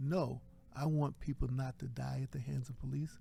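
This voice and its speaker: A man speaks at a moderate pace with a medium pitch. His tone is dark and mellow, and his voice is somewhat breathy. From Virginia, US South. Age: 70s. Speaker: professor and chaplain. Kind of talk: interview.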